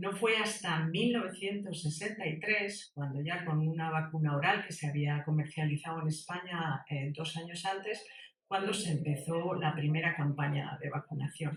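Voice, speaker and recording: Her pitch fairly low, a woman speaks at a moderate pace with ordinary pitch variation. She leaves hardly any pauses. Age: 60s. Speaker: human rights activist. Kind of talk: talk. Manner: halting.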